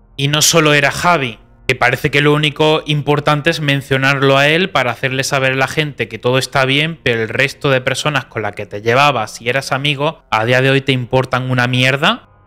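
At a fairly quick pace and with hardly any pauses, a man speaks in a bright, sharp tone. His pitch is medium and his intonation fairly even. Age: 20s. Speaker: YouTuber. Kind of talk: reaction commentary; commentary response video. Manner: calm. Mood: calm but critical, reproachful. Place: studio. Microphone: studio mic.

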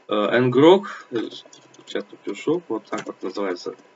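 A man's medium-pitched voice at a moderate pace, with noticeable background noise. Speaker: gaming youtuber. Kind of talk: game walkthrough narration. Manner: halting.

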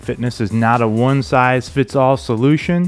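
Faint music plays in the background as the speaker talks at a fairly slow pace. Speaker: fitness coach. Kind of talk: workout instruction. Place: studio. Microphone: headset.

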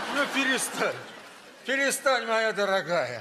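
A man speaks in a raised, projected voice. Light background noise sits behind him. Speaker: comedy sketch actor. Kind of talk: scripted comedy dialogue. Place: stage.

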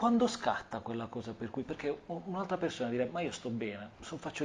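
A man has a fairly high pitch and a dark, mellow tone. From Apulia, Corato; Apulia. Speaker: interviewer. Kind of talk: interview. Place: home room. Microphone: lapel.

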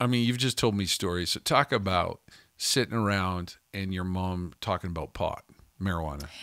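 Speaking at a moderate pace in a Canadian accent, a man with a very deep, low pitch and a bright, sharp tone shows ordinary pitch variation, his voice dry with no echo against a quiet background. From Canada (Calgary, Alberta). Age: 50s. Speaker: pastor and podcast co-host. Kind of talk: casual chat. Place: studio. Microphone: studio mic.

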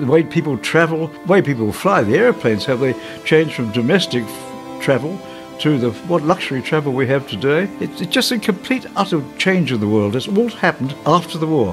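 Clear music plays in the background. A man speaks at a fairly quick pace with very wide pitch swings. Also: fairly high pitch for a man. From England. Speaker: war veteran and retired electronics businessman. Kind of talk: interview answer. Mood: reflective, reminiscing. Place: home room. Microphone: lapel.

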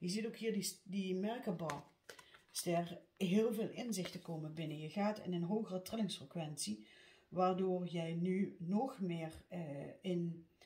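A woman talks at a very slow pace, her pitch varying in an ordinary way. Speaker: card reader. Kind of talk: tarot reading monologue. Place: home room. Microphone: phone near.

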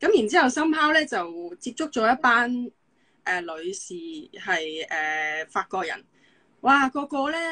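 A woman's bright, sharp voice with very wide pitch swings at a fairly slow pace, over a quiet background. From Hong Kong. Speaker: physiotherapist; guest. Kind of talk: casual chat. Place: home room. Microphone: video call.

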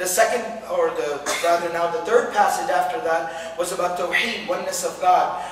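A man with a high voice speaks with ordinary pitch variation in a room with audible echo and light background noise. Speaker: religious teacher. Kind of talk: lecture.

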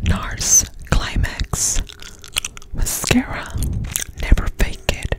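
Someone whispers at a very slow pace with noticeable background noise behind them. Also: dry sound with no echo. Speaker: beauty vlogger. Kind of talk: casual vlog chat. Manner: close-up ASMR whisper. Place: home room. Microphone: phone near.

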